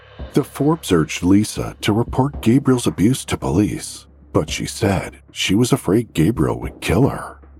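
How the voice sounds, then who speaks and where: A man's fairly low voice with vocal fry, very wide pitch swings and a dramatic tone at a moderate pace. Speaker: podcast narrator. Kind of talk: scripted true-crime narration. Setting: studio. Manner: dramatic, grave, suspenseful narration.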